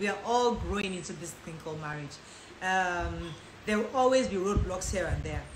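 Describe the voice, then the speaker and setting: With big swings in loudness, a medium-pitched woman speaks with ordinary pitch variation amid noticeable background noise and audible room echo. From Nigeria (Lagos), high school years in the US. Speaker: lifestyle and relationship content creator. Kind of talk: live Q&A. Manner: fast.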